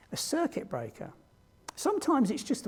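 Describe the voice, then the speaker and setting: In a British accent, the speaker moves at a moderate pace with very wide pitch swings. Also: man. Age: 60s. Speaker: diversity trainer. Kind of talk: training presentation.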